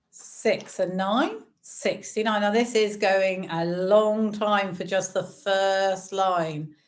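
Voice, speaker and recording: A woman speaks with an English accent. Her pace is very slow. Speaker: bingo caller for charity fundraiser. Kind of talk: bingo calling on a live stream. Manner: cheerful, chatty; slow, deliberate number calling.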